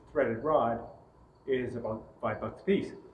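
A man is speaking in audible room echo. Light background noise can be heard. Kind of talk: tutorial. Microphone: camera far.

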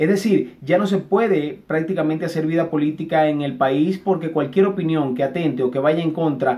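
A man talks with fairly even intonation. His pitch is fairly high. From Venezuela. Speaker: journalist. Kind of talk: interview; interview answer. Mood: earnest, critical.

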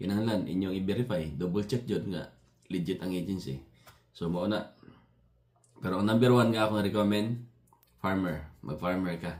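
Pausing long and often, a man with a very deep, low voice talks at a moderate pace with ordinary pitch variation. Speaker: vlogger, factory maintenance worker. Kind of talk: casual vlog monologue. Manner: halting.

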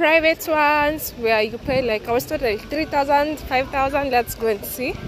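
With faint music in the background and a dry sound with no echo, a woman talks at a moderate pace with ordinary pitch variation. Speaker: travel vlogger. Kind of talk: casual vlog chat. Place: street. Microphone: phone near.

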